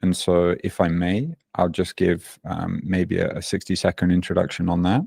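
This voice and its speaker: A man in a Birmingham accent with a very deep, low pitch and dark, mellow tone, at a moderate pace with fairly even intonation, on a very clean recording with a silent background and a dry, close sound with no echo. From England, Birmingham. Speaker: fitness coach. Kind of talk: podcast interview. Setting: podcast.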